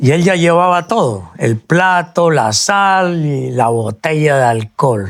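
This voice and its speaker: On a very clean recording with a silent background, a man with a fairly high pitch talks at a very slow pace with hardly any pauses, very even loudness, and very wide pitch swings. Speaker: radio announcer. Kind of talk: interview answer. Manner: storytelling, lively.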